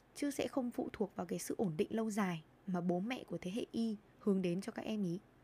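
A woman's somewhat breathy voice, dark and mellow in tone, moves at a fairly quick pace. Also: medium pitch for a woman, ordinary pitch variation. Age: 20s. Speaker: podcast host and lifestyle blogger. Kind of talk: solo podcast monologue.

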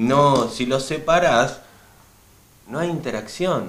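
Fairly slow delivery, lively intonation, and audible echo from the room. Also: man. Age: 30s. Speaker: skateboarder. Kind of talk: casual chat.

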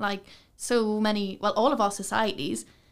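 A woman with a Geordie accent speaks at medium pitch on a very clean recording with a silent background. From Newcastle, northern England. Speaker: students' union officer. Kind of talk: casual chat. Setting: studio.

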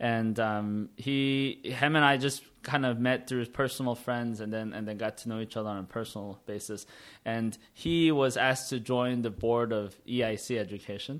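With an American accent, a man speaks at a moderate pace and medium pitch, his intonation fairly even and hardly any pauses between words. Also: very clean recording, silent background. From United States. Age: 30s. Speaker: entrepreneur. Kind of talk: interview. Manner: halting, many fillers.

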